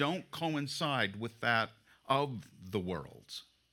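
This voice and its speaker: A man's fairly high voice, bright and sharp in tone and marked by vocal fry, moves through very wide pitch swings. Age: 60s. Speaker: pastor. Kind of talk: sermon. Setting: church.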